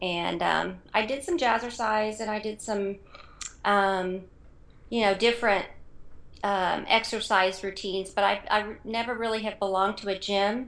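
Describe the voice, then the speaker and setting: With a normal speaking voice, a woman talks at a medium pitch and a fairly slow pace, her intonation fairly even. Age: 50s. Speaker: fitness contest participant. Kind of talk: interview.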